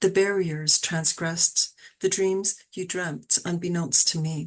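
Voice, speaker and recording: With a Canadian accent, the speaker talks at a fairly slow pace and with fairly even intonation against a quiet background. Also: woman. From Toronto, Canada. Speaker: poet. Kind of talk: poetry reading; casual chat. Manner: steady cadence.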